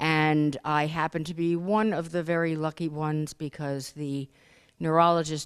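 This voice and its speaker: With a very deep, low pitch, a woman speaks on a very clean recording against a silent background. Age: 60s. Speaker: encephalitis survivor, support group board member. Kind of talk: self-introduction at a conference. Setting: conference room with group.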